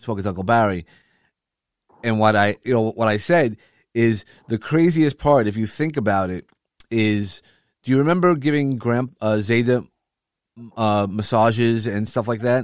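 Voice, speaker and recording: With a Brooklyn accent, a man speaks at medium pitch with ordinary pitch variation and long, frequent pauses. The recording is very clean, with a silent background and a dry, close sound with no echo. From Brooklyn, New York. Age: 50s. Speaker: podcast host. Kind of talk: casual chat.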